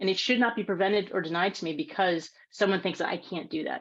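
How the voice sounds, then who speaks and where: Against a quiet background, a woman speaks with a medium pitch. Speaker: women's rights advocate. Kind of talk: panel Q&A talk. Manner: fast.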